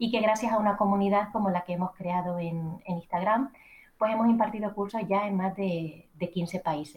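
A woman with a Canarian accent speaks at a moderate pace and medium pitch, her intonation fairly even. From Canary Islands. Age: 30s. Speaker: journalist and entrepreneur. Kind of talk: interview. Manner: formal.

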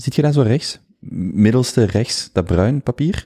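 A man with a Flemish accent speaks at a moderate pace with lively intonation and a dark, mellow tone. The sound is dry and close with no echo, on a very clean recording with a silent background. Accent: Flemish Dutch. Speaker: podcast host. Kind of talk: interview conversation.

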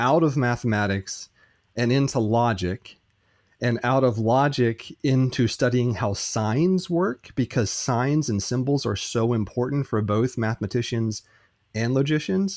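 Here is a normal speaking voice with an American accent, moving at a fairly slow pace with ordinary pitch variation. The recording is very clean, with a silent background. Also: man. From United States. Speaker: philosophy and logic teacher. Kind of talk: interview.

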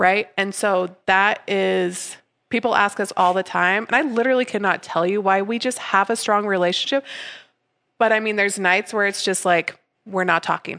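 A woman's medium-pitched voice with a bright, sharp tone, fairly even intonation and a moderate pace, over a quiet background. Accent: American. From southern Utah. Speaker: brewery co-owner. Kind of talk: casual chat.

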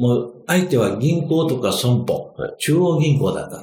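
A man talks with ordinary pitch variation over noticeable background noise, with audible room echo. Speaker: finance consultant. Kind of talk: interview storytelling. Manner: many fillers, relaxed pace.

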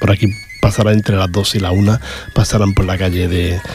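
At a moderate pace, a man with a fairly low voice talks over noticeable background noise. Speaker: local radio host for a rociero association. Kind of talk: casual radio presenting. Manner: halting, with frequent repetitions.

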